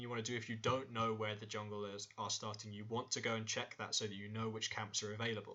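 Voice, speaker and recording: Medium pitch from a male speaker. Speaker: esports analyst. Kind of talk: tutorial. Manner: fast.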